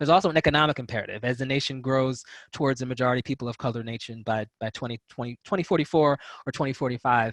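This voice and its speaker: Over a quiet background, a man talks at a very fast pace with a fairly high pitch, the sound dry and close with no echo. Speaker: policy researcher. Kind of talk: presentation on a video call.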